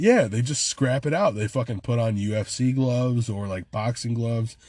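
A man with an American accent speaks at a medium pitch and a moderate pace in an animated, somewhat breathy tone over a quiet background. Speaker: podcast co-host, airport ground crew lead. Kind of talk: casual chat.

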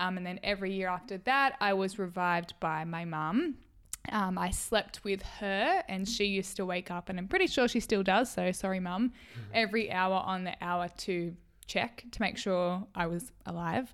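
With an Australian accent, the voice shows ordinary pitch variation. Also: woman, medium pitch for a woman, moderate pace. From Australia, rural New South Wales. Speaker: podcast co-host. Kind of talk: casual chat. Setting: at home.

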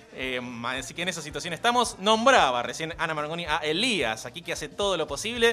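With noticeable background noise behind him, a man with a high pitch talks at a fairly quick pace with very wide pitch swings. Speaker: radio host. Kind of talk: casual chat.

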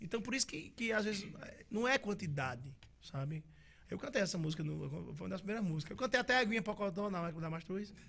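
Talking at a very fast pace, a man uses lively intonation and a high pitch. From Northeast Brazil, interior. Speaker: forró singer. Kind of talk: casual interview chat.

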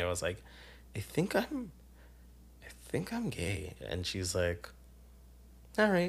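A man speaks with vocal fry at a moderate pace. The recording is very clean, with a silent background. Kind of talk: casual chat.

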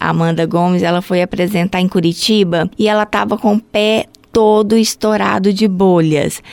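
A woman speaks in an unremarkable speaking voice at a medium pitch. Her pace is moderate and her intonation fairly even. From Brazil, Goiânia (Goiás). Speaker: health unit supervisor at a ballet school. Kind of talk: interview.

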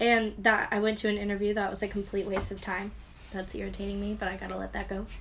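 Over noticeable background noise, a woman at a medium pitch talks at a very fast pace with monotone, flat intonation. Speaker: co-host friend. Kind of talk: casual chat.

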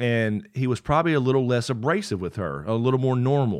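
Over a quiet background, an unremarkable speaking voice carries lively intonation. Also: man. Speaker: podcast co-host. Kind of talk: casual chat.

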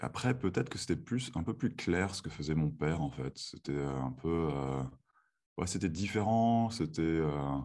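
A man's very deep, low voice in a calm tone, with lively intonation and a fairly slow pace. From France (moved from Texas at age 7). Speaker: chiropractor. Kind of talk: interview; guided breathing exercise.

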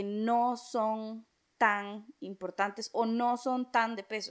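In a very clean recording with a silent background, a woman with a Costa Rican accent speaks at a high pitch. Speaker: podcast co-host. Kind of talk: casual chat.

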